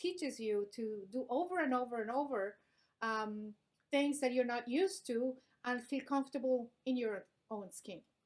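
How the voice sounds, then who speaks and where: Speaking with a non-native accent, a woman uses a high pitch and ordinary pitch variation. Her pace is fairly slow. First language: not English. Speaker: business vlog co-host. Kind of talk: casual discussion.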